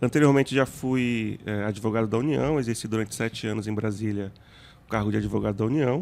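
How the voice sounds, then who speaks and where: This man's medium-pitched voice moves at a fairly quick pace, with ordinary pitch variation. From Greater São Paulo (Arujá), Bahian family. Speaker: federal judge. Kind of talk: interview. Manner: halting, with fillers.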